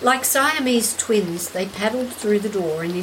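A passage read aloud in a natural voice

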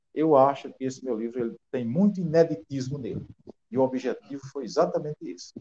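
With a dark, mellow tone and a fairly high pitch, a man talks at a fairly quick pace, showing ordinary pitch variation and big swings in loudness. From Rio Grande do Norte interior, Brazil. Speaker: author and teacher. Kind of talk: interview.

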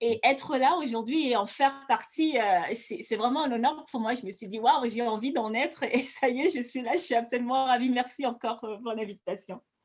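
Her pitch sits high, and she is a woman. The rise and fall of her voice is ordinary. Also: moderate pace. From Cameroon, Douala. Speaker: beauty entrepreneur, former flight attendant. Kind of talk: interview testimony. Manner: hesitant, many fillers and repetitions.

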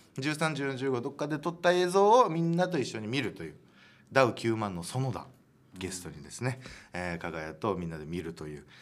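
A man at medium pitch and moderate pace, with very wide pitch swings. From Japan, Hiroshima. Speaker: comedian and radio host. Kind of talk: solo radio talk.

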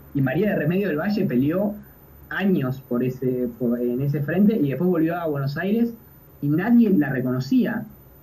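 Lively, fairly high male speech at a moderate pace with audible room echo. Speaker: podcast host. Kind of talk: history talk.

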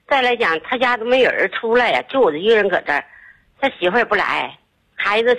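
A woman speaks at a fairly high pitch. Her voice has vocal fry. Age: 50s. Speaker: caller. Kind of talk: phone call to radio show. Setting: phone call. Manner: rambling, halting.

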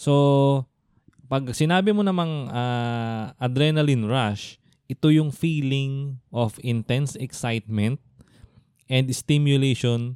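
In a dry, close sound with no echo, a man with an unremarkable speaking voice talks at a fairly slow pace, medium pitch, and ordinary pitch variation. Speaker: podcast co-host. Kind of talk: casual chat; scripted intro.

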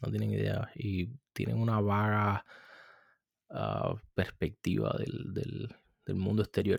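A man's voice, dry and close with no echo. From Cuba. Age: 30s. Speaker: podcast host. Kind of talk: solo commentary.

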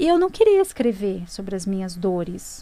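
A woman talks at a moderate speed. Hers is an ordinary speaking voice, pitched fairly high. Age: 30s. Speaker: author and spiritual mentor. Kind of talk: personal testimony in interview.

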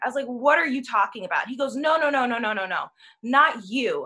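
A woman speaks in a raised, projected voice that is high-pitched, with a bright, sharp tone and lively intonation. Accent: American. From Chicago, US. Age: 20s. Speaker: actor and singer. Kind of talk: casual panel discussion.

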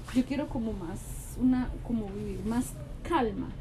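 High-pitched female speech with ordinary variation in pitch. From Colombia. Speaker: podcast co-host, mother. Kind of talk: casual chat. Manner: animated.

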